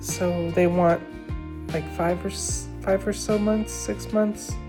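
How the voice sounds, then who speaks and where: Speaking very slowly, a woman is heard with music in the background. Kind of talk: casual vlog talk to camera. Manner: hesitant, rambling.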